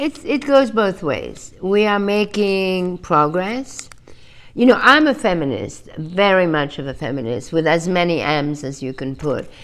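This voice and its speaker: Her pitch swings very widely as the woman talks at a fairly slow pace. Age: 70s. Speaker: fashion designer and author. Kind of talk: interview answer. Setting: video call. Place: home room.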